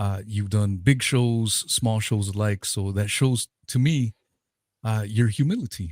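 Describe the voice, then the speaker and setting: On a very clean, dry and close recording with a silent background and no echo, a man with an American accent talks at a moderate pace, his fairly low voice keeping a fairly even intonation. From Southern California (Pasadena). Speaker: podcast host. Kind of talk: casual interview chat.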